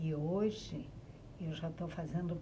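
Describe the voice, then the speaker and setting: At a very slow pace and with fairly even intonation, the voice carries audible room echo. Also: woman. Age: 60s. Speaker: writer. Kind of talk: podcast interview.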